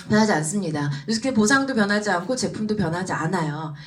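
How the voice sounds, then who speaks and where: Over noticeable background noise and audible room echo, the voice races at a very fast pace with an animated tone and very wide pitch swings. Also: woman. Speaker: business speaker, former elementary teacher. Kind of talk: motivational seminar talk.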